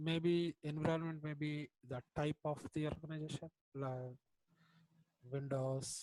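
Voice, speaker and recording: A quiet man's voice, fairly high in pitch, dark and mellow in tone, monotone and flat, at a fairly slow pace with long, frequent pauses, the sound dry and close with no echo. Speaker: student. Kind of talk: classroom question.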